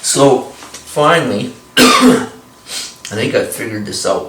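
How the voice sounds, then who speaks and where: Audible room echo and noticeable background noise around a man talking. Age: 60s. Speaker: velomobile cyclist vlogger. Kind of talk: casual tutorial. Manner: halting, many fillers.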